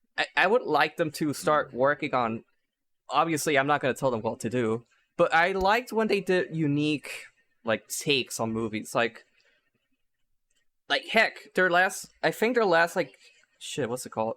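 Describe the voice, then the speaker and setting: A man with a non-native accent speaks at a moderate pace in a fairly high, bright, sharp voice, his pitch swinging very widely. He leaves long, frequent pauses, and the recording is very clean with a silent background. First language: not English. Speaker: podcast host. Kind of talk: casual chat. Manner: animated.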